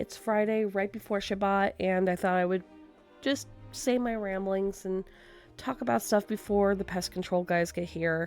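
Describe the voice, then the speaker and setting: The speaker talks at a moderate pace with ordinary pitch variation while music plays in the background. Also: woman, medium pitch for a woman. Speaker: tattoo artist; gamer. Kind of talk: casual talk to camera.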